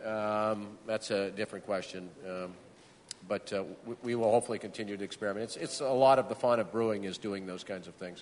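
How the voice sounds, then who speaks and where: A man with an American accent talks at a fairly quick pace in a fairly low pitch. He has an unremarkable speaking voice and fairly even intonation. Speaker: brewery founder. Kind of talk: panel tasting talk. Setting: stage with audience.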